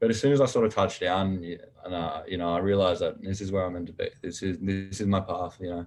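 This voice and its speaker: A man with an Australian accent speaks at a very fast pace, his pitch fairly low and his intonation fairly even. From Australia, Canberra. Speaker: college football player. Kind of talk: casual chat.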